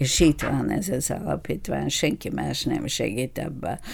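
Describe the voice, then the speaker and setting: With a Bulgarian accent, a woman talks at a very slow pace. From Bulgaria, Ruse region. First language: Bulgarian (speaking Hungarian). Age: 80s+. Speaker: retired doctor. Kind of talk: interview. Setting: studio.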